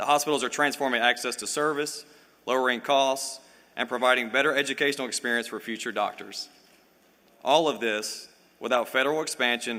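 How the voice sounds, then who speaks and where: A man with a Louisiana accent talks at a fairly quick pace and medium pitch. His tone is bright and sharp, his intonation fairly even. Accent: Louisiana Southern. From US South, Louisiana. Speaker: event host. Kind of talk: speaker introduction.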